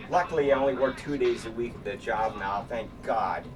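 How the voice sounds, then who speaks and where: Noticeable background noise beneath a man's medium-pitched voice. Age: 60s. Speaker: vlogger and artist. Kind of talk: casual monologue vlog while exercising. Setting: home studio. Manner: casual, rambling with fillers.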